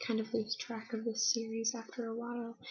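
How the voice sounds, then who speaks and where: The speaker is soft-spoken. The pace is moderate. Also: woman. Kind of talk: soft-spoken ASMR manga review.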